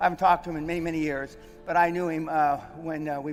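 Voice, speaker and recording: A man speaks at a very fast pace in a fairly high pitch, his intonation monotone and flat. Music plays in the background. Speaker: veteran and businessman, seminar host, speaker. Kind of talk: motivational stage speech to an event audience.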